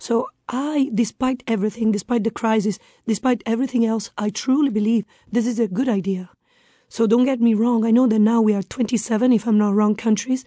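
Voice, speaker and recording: A woman's fairly high voice in an Italian accent, dark and mellow in tone and somewhat breathy, with fairly even intonation, very even loudness, a fairly quick pace and a dry, close sound with no echo. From northern Italy. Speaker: expat guest. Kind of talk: interview.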